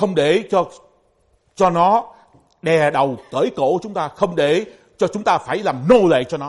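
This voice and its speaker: Long, frequent pauses mark a man's very slow speech, delivered at a high pitch with lively intonation. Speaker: pastor. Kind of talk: sermon.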